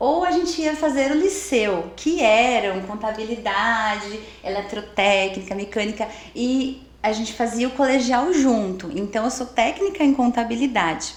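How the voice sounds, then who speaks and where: A woman with a fairly high pitch speaks fairly slowly and with lively intonation, amid audible room echo and noticeable background noise. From Brazil, Amparo (São Paulo state). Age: 40s. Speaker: belly dance teacher and salesperson. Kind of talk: interview. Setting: studio.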